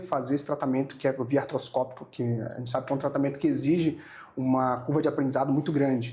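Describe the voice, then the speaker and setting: This man's voice has a dark, mellow tone at medium pitch and sounds somewhat breathy. He speaks at a fairly quick pace. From Brazil, Amazonas state. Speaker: oral and maxillofacial surgeon. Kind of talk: podcast interview. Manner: hesitant, with many fillers and repetitions.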